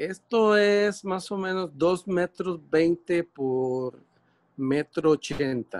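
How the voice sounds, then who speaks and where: Very slow speech over a quiet background. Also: man, high pitch for a man, ordinary pitch variation. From Curaçao, raised in Costa Rica. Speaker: visual artist; interviewee. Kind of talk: interview, explaining his artworks. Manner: halting, many fillers. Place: workshop. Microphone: video call.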